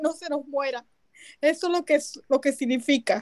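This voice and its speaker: A woman with a Venezuelan accent at a fairly quick pace, ordinary pitch variation, and a dry, close sound with no echo. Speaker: activist and movement coordinator. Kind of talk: interview.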